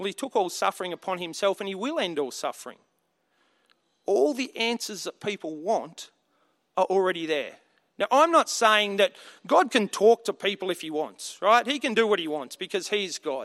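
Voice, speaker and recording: A man with an Australian accent speaks at a high pitch with lively intonation, recorded very cleanly against a silent background. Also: moderate pace. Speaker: preacher. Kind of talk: sermon.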